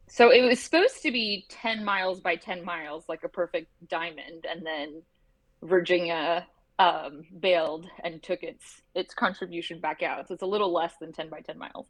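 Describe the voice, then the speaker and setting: An ordinary speaking voice at a moderate pace, with ordinary pitch variation and big swings in loudness. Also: woman, fairly low pitch for a woman. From Canada. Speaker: lawyer. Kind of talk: casual chat.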